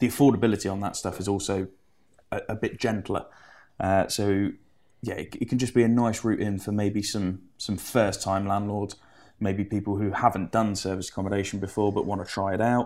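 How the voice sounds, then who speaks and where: With an English accent, a man speaks in a flat monotone at a fairly low pitch and fairly quick pace, in a very clean recording with a silent background. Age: 20s. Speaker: property finance broker. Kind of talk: interview.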